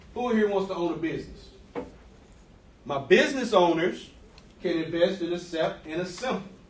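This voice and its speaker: A man's high-pitched voice with lively intonation and long, frequent pauses, amid audible room echo and noticeable background noise. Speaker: guest speaker on personal finance. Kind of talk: classroom presentation. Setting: classroom with students. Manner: fast; casual, interactive.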